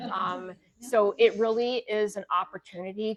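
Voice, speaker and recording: A woman with a plain, everyday voice speaks at medium pitch and a fairly slow pace, her intonation fairly even, in a dry, close recording with no echo. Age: 60s. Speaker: nurse practitioner and wellness podcast host. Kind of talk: live workshop talk. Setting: live gathering with audience.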